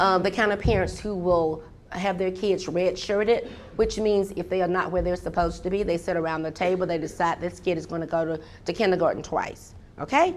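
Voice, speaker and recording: Audible room echo surrounds a woman with a Southern US accent, who speaks at a medium pitch in an animated tone. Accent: Southern US (Georgia). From US South, Georgia. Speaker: professor. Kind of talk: keynote lecture. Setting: conference hall with audience. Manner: fast.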